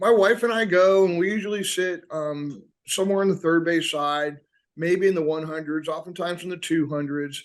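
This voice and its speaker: Ordinary pitch variation comes from a man with an American accent. His pitch is high. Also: moderate pace. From US South, Atlanta. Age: 60s. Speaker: high school teacher and baseball coach. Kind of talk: casual chat.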